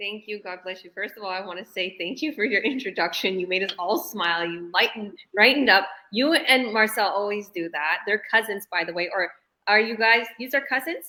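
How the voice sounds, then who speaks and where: Loudness swings widely in this animated voice with a Canadian accent. Pitch varies an ordinary amount. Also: woman, medium pitch for a woman. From Canada, Toronto. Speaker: business coach. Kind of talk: online interview Q&A.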